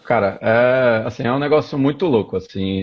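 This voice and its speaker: A man talks at a moderate pace and medium pitch. His pitch varies in an ordinary way. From Pernambuco, Brazil (Recife). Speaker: tech startup founder. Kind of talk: live interview. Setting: Instagram live stream.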